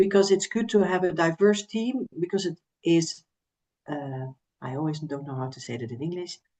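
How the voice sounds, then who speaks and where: A woman's fairly low, dark, mellow voice with a Dutch accent at a moderate pace, with big swings in loudness. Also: lively intonation. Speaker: recruitment agency representative. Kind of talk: podcast interview.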